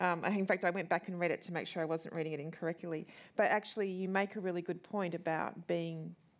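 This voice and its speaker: A woman with an Australian accent speaks very fast in a fairly low pitch, her intonation flat and monotone. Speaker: interviewer and festival co-curator; interviewer. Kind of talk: onstage interview. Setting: stage with audience. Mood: warm, respectful. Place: hall.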